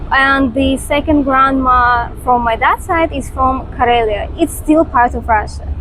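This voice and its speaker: Against noticeable background noise, a woman with a high pitch talks with hardly any pauses and fairly even intonation. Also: fairly slow pace. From Estonia. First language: Russian. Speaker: vlogger. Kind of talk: casual chat. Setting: outdoors.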